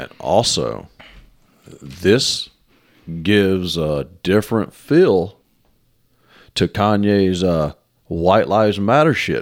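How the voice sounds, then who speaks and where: In a very clean recording with a silent background, a man speaks with a Southern US accent in a fairly low voice. He talks at a very slow pace with lively intonation and long, frequent pauses. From US South, Mississippi. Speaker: podcast co-host. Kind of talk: casual chat.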